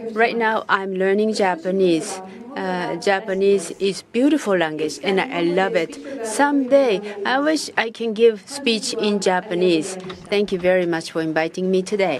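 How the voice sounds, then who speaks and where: A woman speaks at a fairly slow pace with lively intonation and a medium pitch. Noticeable background noise is audible. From Jordan. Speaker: ambassador. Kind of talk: keynote speech. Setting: conference stage with audience.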